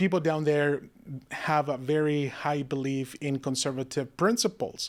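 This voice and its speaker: With a Spanish accent, a man talks at a moderate pace, his fairly high pitch showing ordinary variation. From Mexico, Monterrey. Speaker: political candidate. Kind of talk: interview. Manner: halting.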